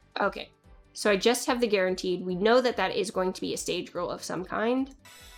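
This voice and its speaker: Over music in the background, a woman talks at a fairly quick pace and medium pitch with ordinary pitch variation. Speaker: gacha game video creator. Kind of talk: casual gameplay commentary. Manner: rambling.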